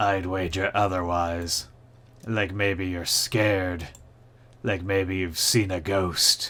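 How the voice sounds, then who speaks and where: A man puts on a creaky character voice with a very deep, low pitch. He speaks at a very slow pace. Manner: taunting, teasing.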